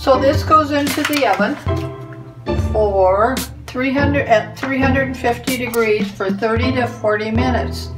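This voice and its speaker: Clear music plays behind a woman as she speaks. She goes at a fairly slow pace with long, frequent pauses. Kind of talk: tutorial. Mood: warm, homely. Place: kitchen. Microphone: camera far.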